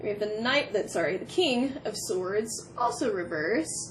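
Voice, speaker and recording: There is noticeable background noise behind a woman's voice. She speaks at a fairly high pitch with lively intonation. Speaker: tarot reader. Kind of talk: pick-a-card tarot reading. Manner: animated.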